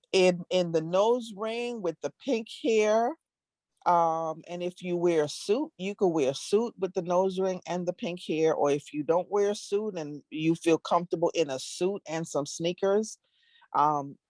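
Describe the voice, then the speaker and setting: A woman with a Caribbean accent speaks at a fairly low pitch with ordinary pitch variation, her sound dry and close with no echo against a quiet background. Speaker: diversity strategist. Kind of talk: interview. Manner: halting.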